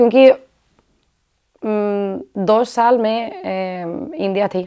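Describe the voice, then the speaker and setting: Speaking with a Spanish accent, a woman uses lively intonation in a fairly high voice. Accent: Spanish-accented Hindi. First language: Spanish (speaking Hindi). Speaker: sadhvi, former doctor. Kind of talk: interview. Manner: halting.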